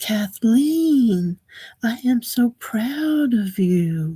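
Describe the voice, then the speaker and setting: A soft-spoken, female-sounding put-on character voice, fairly high in pitch and very slow in pace. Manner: adoring, proud.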